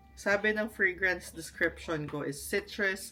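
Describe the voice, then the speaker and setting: Very slow speech from a woman at medium pitch, ordinary pitch variation, with music in the background. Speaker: vlogger. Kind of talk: casual vlog unboxing. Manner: animated.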